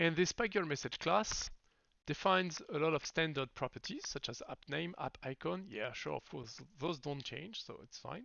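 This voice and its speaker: A man with a slight French accent speaks at a moderate pace in a fairly high pitch, his intonation lively and his loudness swinging widely. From France. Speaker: software developer live streamer. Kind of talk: live coding stream. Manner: halting.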